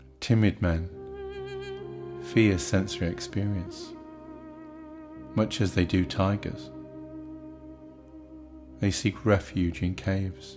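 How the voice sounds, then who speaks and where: Fairly low male voice at a very slow pace, broken by long, frequent pauses, with music in the background. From British. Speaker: audiobook narrator. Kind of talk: spiritual text narration. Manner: slow, meditative, relaxing.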